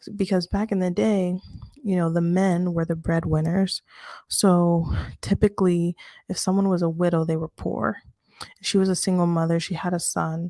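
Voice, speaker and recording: A quiet, dark, mellow tone with fairly even intonation comes at a moderate pace in a very clean recording with a silent background and a dry, close sound with no echo. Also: woman, fairly low pitch for a woman. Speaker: bible study teacher. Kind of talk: casual bible study talk. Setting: home apartment at night. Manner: quiet, speaking low; halting, many fillers. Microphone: close mic to help with low voice.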